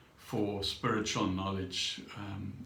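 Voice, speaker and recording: A man's voice comes through audible room echo with noticeable background noise behind it. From South Africa. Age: 70s. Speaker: vlogger. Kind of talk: personal vlog monologue. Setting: home meditation room. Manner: halting, many fillers.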